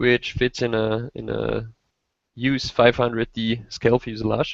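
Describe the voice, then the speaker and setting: In a dry, close sound with no echo, a man with a German accent speaks at a medium pitch, fairly slowly, in a flat monotone. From Austria. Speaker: RC helicopter hobbyist, simulator beta tester. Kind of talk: casual chat.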